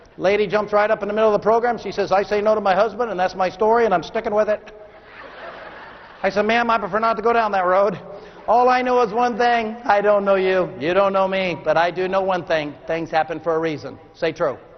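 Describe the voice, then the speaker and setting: An animated man with an American accent, high-pitched for a man, speaking very fast with ordinary pitch variation over noticeable background noise. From Texas. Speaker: motivational speaker. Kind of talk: keynote speech. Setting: stage with audience.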